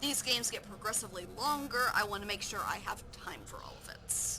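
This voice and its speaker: A woman talks at a moderate pace with fairly even intonation while music plays in the background. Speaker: gaming streamer. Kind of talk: live game stream, reading questions aloud and answering.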